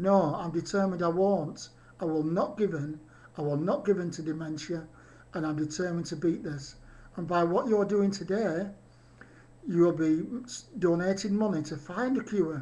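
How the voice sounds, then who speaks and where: A man with a British accent, high pitch, ordinary pitch variation and a moderate pace. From UK. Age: 50s. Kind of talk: video message to an audience.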